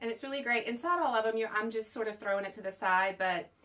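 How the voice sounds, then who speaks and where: With a bright, sharp tone, a woman speaks at a fairly high pitch and keeps her intonation fairly even. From US South. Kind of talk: unboxing video. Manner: casual, chatty.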